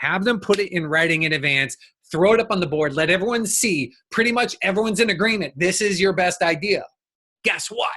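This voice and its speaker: A man's raised, projected voice, high in pitch with ordinary variation, bright and sharp in tone, at a fairly quick pace. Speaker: business coach. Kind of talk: recorded workshop talk. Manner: fast; animated.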